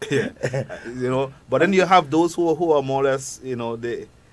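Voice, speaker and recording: Someone with a Grenadian accent speaks at a fairly quick pace. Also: man. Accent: own Grenadian accent, kept. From Grenada. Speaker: psychologist. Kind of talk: radio talk show interview. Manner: halting, many repetitions.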